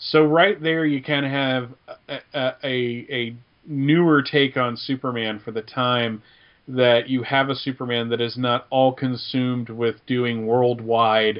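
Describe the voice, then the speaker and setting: A man with a plain, everyday voice speaks at a medium pitch and a fairly slow pace, keeping his intonation fairly even. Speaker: guest co-host. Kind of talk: casual podcast chat.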